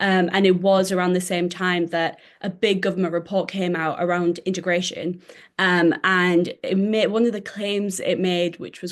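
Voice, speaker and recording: Against a quiet background, a speaker with a northern English accent talks in a monotone, flat intonation. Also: woman. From northern England. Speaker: historian. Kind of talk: interview.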